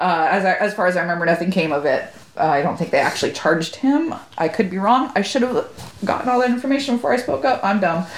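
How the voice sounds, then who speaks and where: At a very fast pace, a woman with a medium pitch keeps her loudness very even while her pitch swings very widely, with noticeable background noise behind her. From Southern California (Corona). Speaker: podcast co-host. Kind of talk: casual chat.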